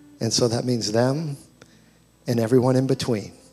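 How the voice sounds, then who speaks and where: With music in the background, a man speaks at a moderate pace in a medium pitch and fairly even intonation. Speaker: pastor. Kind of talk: sermon introduction and prayer. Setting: church.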